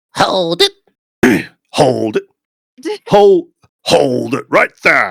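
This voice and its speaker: Long, frequent pauses break up a put-on character voice. The pace is very slow. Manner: menacing, commanding.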